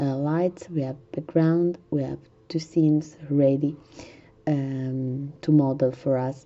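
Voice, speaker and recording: A woman's very deep, low voice in an Italian accent, very slow and in a monotone, flat intonation. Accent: Italian accent, non-native English. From Italy. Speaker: gaming tutorial youtuber. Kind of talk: tutorial. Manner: halting, many fillers.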